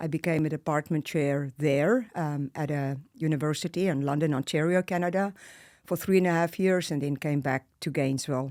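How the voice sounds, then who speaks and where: Delivered at a moderate pace, the speech comes through on a very clean recording with a silent background. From South Africa, Bloemfontein (Afrikaner). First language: Afrikaans. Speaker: professor and life coach. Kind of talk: interview conversation.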